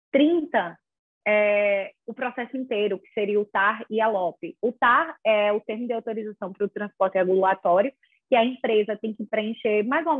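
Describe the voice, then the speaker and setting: With an unremarkable speaking voice, a woman talks at a moderate pace, her pitch fairly high and her pitch variation ordinary. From Brazil, small town in inland Alagoas. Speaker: lawyer in regulatory law. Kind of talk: casual interview.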